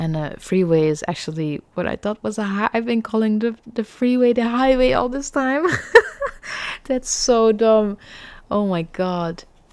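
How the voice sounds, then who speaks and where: A woman with a non-native accent, fairly high-pitched, lively in intonation, at a fairly slow pace. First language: not English. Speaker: gaming streamer. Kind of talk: let's play commentary. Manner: casual, conversational.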